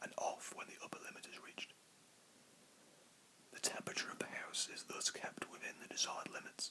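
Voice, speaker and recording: Whispering at a fairly quick pace with long, frequent pauses, the speaker is heard over noticeable background noise. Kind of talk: whispered book reading, ASMR relaxation. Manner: whispered.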